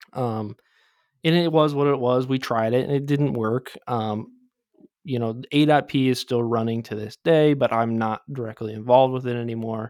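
Speaking at a moderate pace with fairly even intonation, a man with a Midwestern American accent talks at a medium pitch. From southeastern Michigan. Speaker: podcast co-host. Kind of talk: personal life story.

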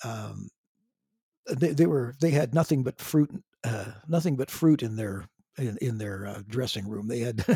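His dark, mellow, somewhat breathy voice sits at a medium pitch, moving at a fairly slow pace with lively intonation. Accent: Canadian. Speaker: drummer and singer in a classic rock band. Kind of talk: casual interview chat. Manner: halting, with repeated words.

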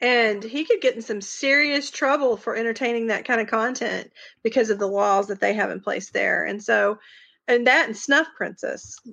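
With a strong Southern US accent, a woman speaks at a fairly slow pace in a bright, sharp tone. The background is quiet. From Arkansas. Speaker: podcast guest, true crime podcast co-host.

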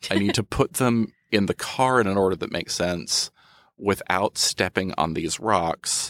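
Here is an ordinary speaking voice: a man with fairly low pitch and ordinary pitch variation, at a fairly slow pace. The sound is dry and close with no echo, on a very clean recording with a silent background. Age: 30s. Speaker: magazine editor and freelance writer. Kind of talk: casual chat. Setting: studio.

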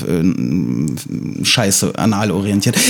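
The speaker is a man. His pitch is fairly low. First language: Russian (speaking German). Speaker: podcast host. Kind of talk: casual chat. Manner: hesitant, many fillers.

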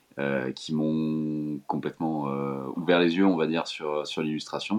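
This man talks at a fairly slow pace with a very deep, low pitch. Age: 20s. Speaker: illustrator. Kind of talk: interview.

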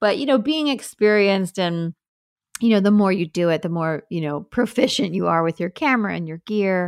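A woman with a New York accent speaks at medium pitch and a fairly quick pace, in a very clean recording with a silent background and a dry, close sound with no echo. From New York, Long Island (Hamptons). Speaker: wedding photographer and coach. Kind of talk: casual interview.

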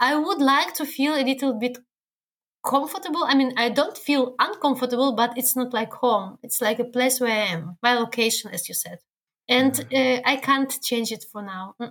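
A woman speaks at a moderate pace. Her voice is high in pitch. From Belarus. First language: Belarusian or Russian. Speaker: guest, works with internationals. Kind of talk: casual interview. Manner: halting.

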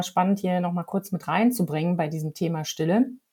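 A woman speaks at a medium pitch and a fairly quick pace, her tone dark and mellow and somewhat breathy. The recording is very clean, with a silent background. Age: middle-aged. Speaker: podcast host. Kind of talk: casual chat.

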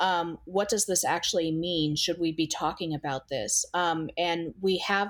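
Here is a woman with a fairly low pitch and an ordinary speaking voice. She keeps a moderate pace. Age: 30s. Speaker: data visualization editor. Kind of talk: interview.

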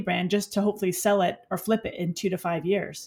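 In an American accent, a woman talks at a medium pitch with fairly even intonation and a somewhat breathy quality. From New York City, the Bronx. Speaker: beauty entrepreneur. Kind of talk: interview.

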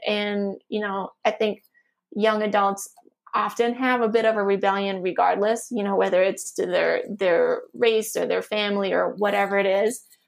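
Speaking at a moderate pace, a woman keeps a medium pitch in a monotone, flat intonation. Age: 40s. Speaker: wellbeing and productivity coach. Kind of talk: casual chat.

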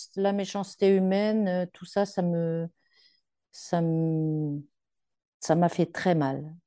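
Against a quiet background, a woman with a fairly low pitch and a dark, mellow tone speaks at a very slow pace with fairly even intonation and long, frequent pauses. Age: 70s. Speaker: breast cancer survivor. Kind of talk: testimony. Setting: separate room from her daughter, remote.

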